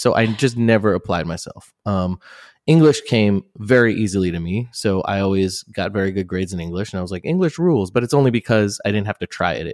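A man with an American accent and a normal speaking voice talks at a fairly low pitch and a fairly quick pace with ordinary pitch variation, on a very clean recording with a silent background and a dry, close sound with no echo. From New Jersey. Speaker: rock band singer. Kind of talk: casual interview chat.

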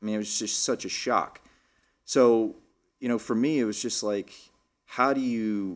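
A man with an American accent and a normal speaking voice talks at a moderate pace with ordinary pitch variation, in a very clean recording with a silent background. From Texas, Lubbock. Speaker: professional golfer. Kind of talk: casual interview. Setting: studio.

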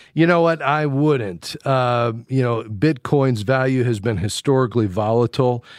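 Against a quiet background, a man speaks in a plain, everyday voice at a medium pitch and moderate pace, with ordinary pitch variation, very even loudness and hardly any pauses. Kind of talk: call-in radio advice show. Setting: radio studio, pre-recorded. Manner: warm, encouraging.

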